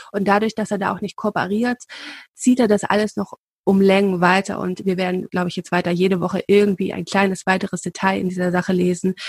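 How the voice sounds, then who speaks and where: A woman with a medium pitch speaks at a very fast pace in a monotone, flat intonation and sounds somewhat breathy. The sound is dry and close, with no echo. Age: 30s. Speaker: royalty expert, podcast co-host. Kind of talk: casual chat.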